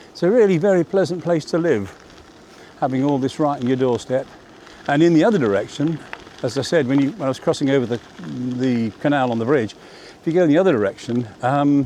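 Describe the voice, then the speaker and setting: A man with a fairly high pitch talks at a very fast pace, broken by long, frequent pauses. Noticeable background noise is present. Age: 70s. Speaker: vlogger. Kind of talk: casual vlog narration. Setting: outdoors on a bicycle. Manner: relaxed, meandering with fillers.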